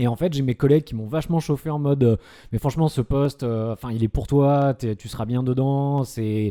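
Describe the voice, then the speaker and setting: Dry and close with no echo, a man's voice of medium pitch and a dark, mellow tone moves at a moderate pace with ordinary pitch variation and hardly any pauses. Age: 30s. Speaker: comedian and psychiatric nurse. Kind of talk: casual podcast chat.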